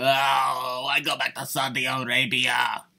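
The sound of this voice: A raspy, put-on character voice in an Italian accent delivers the lines. The pace is fairly slow. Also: man, medium pitch for a man. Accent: Italian-sounding.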